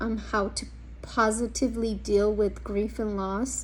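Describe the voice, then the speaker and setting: A woman with a Spanish accent. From US, Mexican American family. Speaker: social work student. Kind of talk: class introduction video. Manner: hesitant, many ums.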